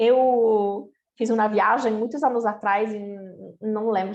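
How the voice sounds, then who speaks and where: A woman speaks very slowly at a fairly high pitch. Audible room echo surrounds her voice. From Italy. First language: Italian (speaking Portuguese). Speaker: company co-founder. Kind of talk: lecture.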